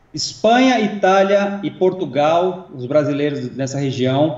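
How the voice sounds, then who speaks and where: A man is talking. His pitch variation is ordinary. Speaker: co-host and assistant. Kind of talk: casual chat.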